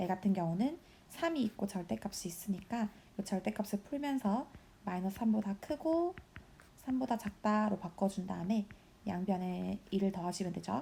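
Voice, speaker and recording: Her voice is medium-pitched, dark and mellow, somewhat breathy, with lively intonation. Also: moderate pace. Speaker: high school math teacher. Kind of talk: recorded lesson walkthrough.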